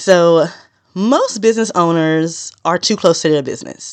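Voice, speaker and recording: A woman speaks at a fairly low pitch. The background is quiet. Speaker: business podcaster. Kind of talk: solo podcast tutorial. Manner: usually fast talker.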